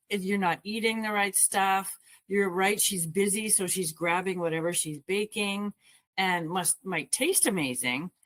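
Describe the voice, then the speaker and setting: At a moderate pace, a woman talks in a normal speaking voice, medium in pitch with ordinary pitch variation. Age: 60s. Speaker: wellness coach. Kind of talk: casual discussion.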